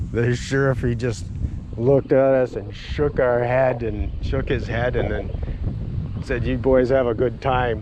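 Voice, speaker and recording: Over noticeable background noise, a man with an Upper Midwest accent speaks at a fairly slow pace and medium pitch. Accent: Upper Midwest American. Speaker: retired outdoorsman. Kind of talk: personal storytelling. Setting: outdoors.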